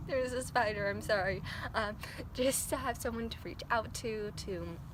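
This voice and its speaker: Soft-spoken and fairly high-pitched, a woman talks at a moderate pace with fairly even intonation and vocal fry, with audible room echo around her. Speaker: vlogger. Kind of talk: casual vlog monologue. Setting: outdoors. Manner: hesitant, many fillers.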